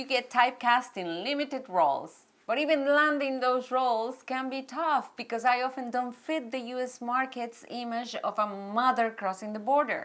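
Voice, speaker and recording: At a moderate pace with hardly any pauses, the speaker talks in a Mexican accent with ordinary pitch variation. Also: woman, high pitch for a woman. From Mexico. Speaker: actress and producer. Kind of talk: personal story vlog. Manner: animated.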